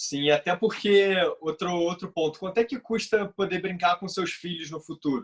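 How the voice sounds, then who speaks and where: A man's high pitch, ordinary pitch variation and moderate pace, in a dry, close sound with no echo. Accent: Brazilian. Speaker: health podcast co-host. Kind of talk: casual podcast conversation.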